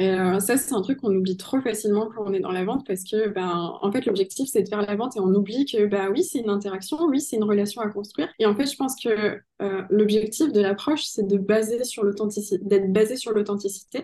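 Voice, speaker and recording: A woman with a dark, mellow tone speaks fairly quickly at a medium pitch, with ordinary pitch variation and hardly any pauses. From southwestern France (Pau). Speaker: sales coach. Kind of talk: podcast interview.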